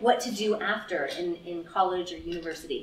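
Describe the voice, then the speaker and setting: A woman with a Canadian accent at a moderate pace, amid noticeable background noise and audible room echo. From Canada, Ottawa, Ontario. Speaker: mindfulness teacher and career counselor. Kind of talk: lecture. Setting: stage with audience. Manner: animated.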